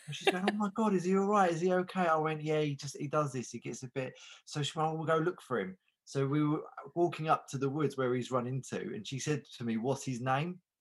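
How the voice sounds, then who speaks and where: In an unremarkable speaking voice, a man with a fairly high pitch moves at a fairly quick pace with ordinary pitch variation. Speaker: comedian panellist. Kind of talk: comedy panel show chat.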